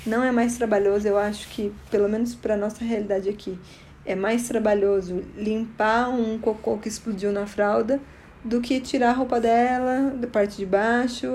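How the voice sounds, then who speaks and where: A woman with an ordinary speaking voice talks at a moderate pace and a fairly high pitch, with fairly even intonation. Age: 30s. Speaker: podcaster, new mother. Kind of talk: solo informal talk sharing experience.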